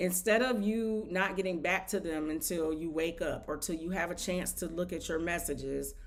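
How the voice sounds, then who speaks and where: There is audible room echo as a woman with a fairly low pitch talks at a moderate pace with hardly any pauses. Her pitch varies in an ordinary way. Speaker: nail technician and online business coach. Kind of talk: live stream product demo. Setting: live stream via OBS. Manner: casual, filler-heavy.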